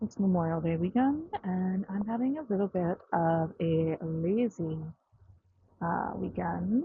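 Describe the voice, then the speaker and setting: Mumbled speech at a fairly slow pace with very even loudness. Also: woman, medium pitch for a woman, lively intonation. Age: 40s. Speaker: vlogger. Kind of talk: casual vlog narration. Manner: mumbling.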